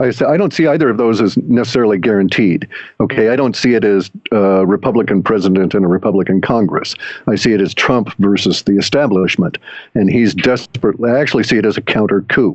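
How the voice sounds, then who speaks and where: A man talks at a very fast pace with a fairly low pitch, ordinary pitch variation and very even loudness. Noticeable background noise is present. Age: 60s. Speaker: data mining forecaster. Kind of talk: interview.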